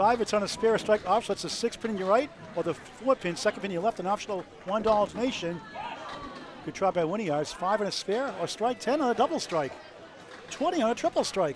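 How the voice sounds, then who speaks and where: Over noticeable background noise, a man with a New England accent talks very fast at a high pitch with lively intonation. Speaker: bowling commentator. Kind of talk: live commentary. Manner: animated.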